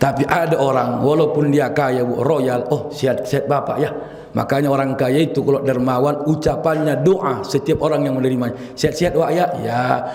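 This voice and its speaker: Hardly pausing, a man talks at a fairly quick pace and fairly high pitch with very even loudness. Audible room echo and noticeable background noise are present. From Riau, coastal Malay area, Indonesia. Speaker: Islamic preacher. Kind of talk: sermon. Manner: rough, blunt delivery; animated, humorous.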